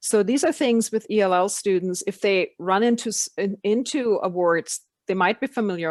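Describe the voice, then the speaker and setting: A woman speaks at a moderate pace with a non-native accent. The sound is dry and close, with no echo. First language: not English. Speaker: education program facilitator. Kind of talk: online meeting discussion.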